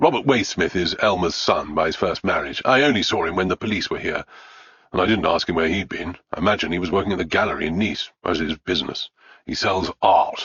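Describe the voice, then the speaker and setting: Putting on a gruff character voice, a man talks at a fairly quick pace with a very deep, low pitch. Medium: read story. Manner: gruff, blunt.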